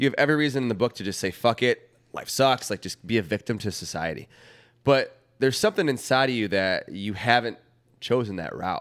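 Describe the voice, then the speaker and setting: Lively in intonation, a man with an American accent and an ordinary speaking voice talks at a fairly quick pace and medium pitch. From Wheaton, Illinois, US. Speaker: podcast co-host. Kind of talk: casual chat. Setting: studio.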